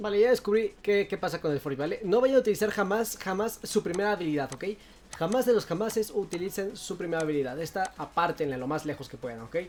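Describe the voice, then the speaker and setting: A woman's animated, medium-pitched voice, very fast, with lively intonation. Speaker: gaming youtuber. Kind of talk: gameplay tutorial.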